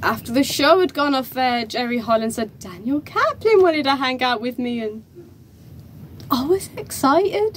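A woman speaks in a high pitch with lively intonation. There is light background noise. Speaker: actor performing a stage monologue. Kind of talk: dramatic theatrical monologue, performed in character. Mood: emotional, tearful at times. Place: empty room. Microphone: camera far.

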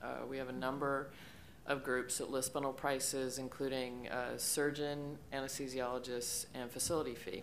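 A woman's very deep, low pitch in a flat monotone at a moderate pace, with light background noise. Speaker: startup founder and CEO; panelist. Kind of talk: conference panel discussion. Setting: stage with audience. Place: hall. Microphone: podium.

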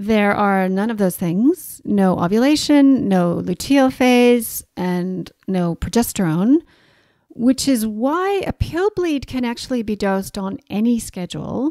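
A woman's dark, mellow tone with lively intonation at a fairly slow pace, the sound dry and close with no echo. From Canada. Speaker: naturopathic doctor and podcast host. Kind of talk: educational solo podcast talk. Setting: home recording in New Zealand.

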